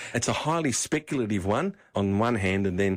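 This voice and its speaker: A man speaks with an Australian accent at a fairly quick pace. His pitch is fairly low. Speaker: financial adviser. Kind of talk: talkback radio advice.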